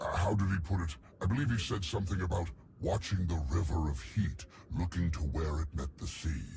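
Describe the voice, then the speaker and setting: Putting on a character voice with a very deep, low pitch, a man speaks at a moderate pace in an enthusiastic tone over clear background noise. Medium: video game. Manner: formal, enthusiastic.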